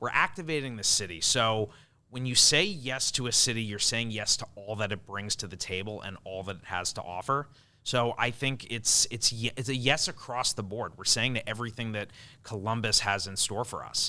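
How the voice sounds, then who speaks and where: A man speaks at a moderate pace in a bright, sharp tone. His loudness swings widely while his pitch varies in an ordinary way. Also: medium pitch for a man, very clean recording, silent background. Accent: Long Island. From US Northeast (Long Island, New York). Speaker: event production executive. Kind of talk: podcast interview.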